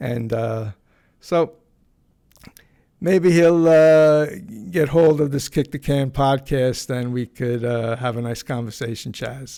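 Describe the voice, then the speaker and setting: With a New York accent, a man speaks at a very slow pace and medium pitch, leaving long, frequent pauses, with ordinary pitch variation. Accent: New York (Bronx). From New York, the Bronx. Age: 70s. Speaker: podcast host. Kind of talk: casual monologue. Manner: halting, many fillers and repeats.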